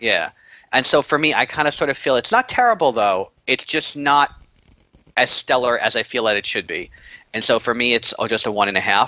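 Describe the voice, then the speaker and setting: A man speaks in a plain, everyday voice at medium pitch. His pace is moderate and his intonation lively. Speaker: podcast co-host. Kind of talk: casual chat.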